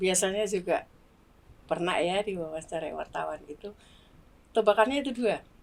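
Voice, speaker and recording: Long pauses come often in this medium-paced speech, whose pitch moves normally. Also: woman, medium pitch for a woman. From Makassar, South Sulawesi, Indonesia. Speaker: vocational school accounting teacher. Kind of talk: interview podcast.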